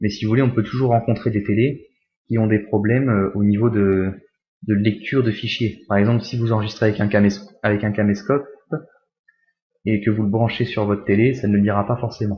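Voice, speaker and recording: A man with a fairly low, somewhat breathy voice talks at a fairly quick pace in monotone, flat intonation, broken by long, frequent pauses. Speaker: tech youtuber. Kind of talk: tutorial. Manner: fast.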